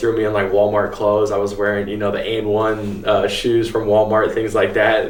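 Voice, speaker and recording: Delivery proceeds at a moderate rate. Background noise is clearly audible throughout. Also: man. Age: 20s. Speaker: vintage clothing store owner. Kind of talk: interview answer.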